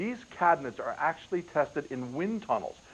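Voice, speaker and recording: With a plain, everyday voice, a man talks at a fairly quick pace with lively intonation. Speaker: TV shopping host. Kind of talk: TV infomercial sales pitch. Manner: upbeat, persuasive.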